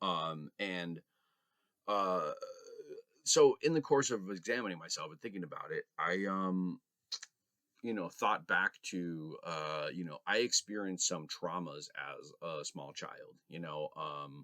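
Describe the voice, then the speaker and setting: A man speaks at a fairly slow pace with long, frequent pauses and big swings in loudness, in a dry, close sound with no echo. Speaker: vlogger. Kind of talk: personal reflection vlog. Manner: hesitant, many fillers.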